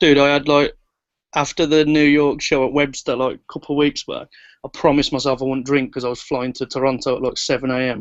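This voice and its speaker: Speaking very fast in a flat monotone, a man with an English accent uses a fairly high pitch. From England. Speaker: music producer. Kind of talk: casual chat.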